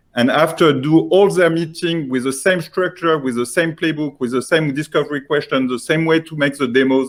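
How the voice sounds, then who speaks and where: A man with a French accent speaks in a fairly high pitch. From France. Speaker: software founder pitching. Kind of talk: sales pitch. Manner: halting, many fillers.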